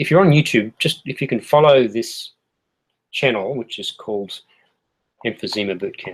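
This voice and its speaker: With an Australian accent, a man talks at a moderate pace and medium pitch, with long, frequent pauses and big swings in loudness. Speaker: health educator. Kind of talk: tutorial. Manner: casual, with fillers.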